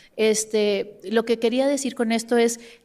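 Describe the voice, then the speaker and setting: A woman speaks in a monotone with flat intonation. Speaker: academic panelist. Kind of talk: academic panel talk. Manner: many fillers and restarts.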